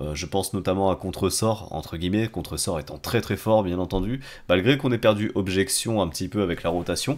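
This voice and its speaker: A man talks at a fairly quick pace. His pitch is very deep and low, with ordinary pitch variation. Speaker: gaming YouTuber. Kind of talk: gameplay commentary. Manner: casual, chatty.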